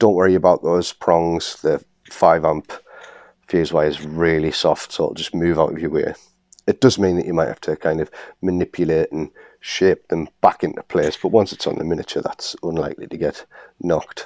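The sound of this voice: This man's pitch is extremely low, and his intonation stays fairly even. He talks at a moderate pace in a slightly mellow tone.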